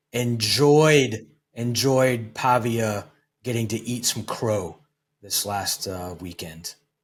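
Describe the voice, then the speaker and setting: Somewhat breathy and at a very slow pace, the voice shows ordinary pitch variation on a very clean recording with a silent background. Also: man, medium pitch for a man. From East Tennessee, then Maryland (Howard County). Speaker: Air Force veteran and podcast host. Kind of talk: podcast interview. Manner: many filler words and hesitations.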